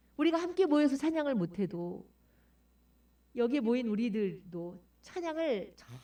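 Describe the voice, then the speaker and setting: A woman's high voice with a dark, mellow tone moves through very wide pitch swings. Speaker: pastor. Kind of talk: sermon.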